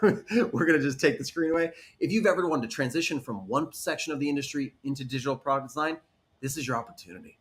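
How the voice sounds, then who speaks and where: Talking at a very fast pace, a man with a fairly high voice sounds animated and somewhat breathy, his intonation lively. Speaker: design instructor. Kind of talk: webinar presentation.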